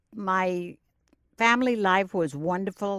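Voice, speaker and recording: Very slowly and with fairly even intonation, a woman with a New York accent speaks at medium pitch in a very clean recording with a silent background and a dry, close sound with no echo. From Brooklyn, New York. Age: 80s+. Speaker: retired teacher. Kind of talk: oral history interview. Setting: recording booth.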